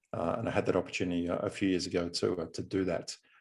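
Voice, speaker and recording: This is a man speaking with an Australian accent. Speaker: business coach and consultant. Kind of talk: podcast interview. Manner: frequent filler hesitations.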